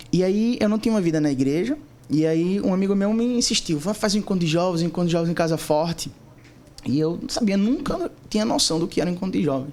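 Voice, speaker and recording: A man's high-pitched voice, very fast and lively in intonation, at very even loudness, over noticeable background noise. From Recife, Pernambuco, Brazil. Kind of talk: casual interview testimony.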